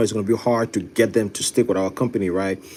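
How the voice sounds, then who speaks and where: Speaking very fast, a man uses an animated tone. His pitch is medium. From Ghana. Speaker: live stream host and construction business owner. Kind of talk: live stream chat reading viewer comments.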